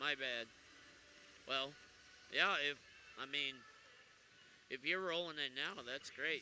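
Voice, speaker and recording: A man with a bright, sharp tone and fairly high pitch, ordinary pitch variation and long, frequent pauses. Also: fairly slow pace. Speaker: play-by-play announcer. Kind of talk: live commentary; casual chat.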